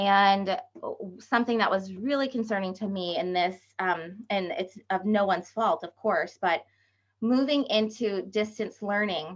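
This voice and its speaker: Ordinary pitch movement and a fairly unhurried pace from a woman with a medium-pitched voice. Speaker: education curriculum specialist. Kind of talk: webinar presentation. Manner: hesitant, many fillers.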